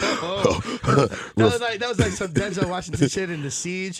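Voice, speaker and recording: With noticeable background noise behind him, a man with an American accent speaks at a high pitch with lively intonation. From New York. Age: 40s. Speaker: cocktail class business owner. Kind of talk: casual chat.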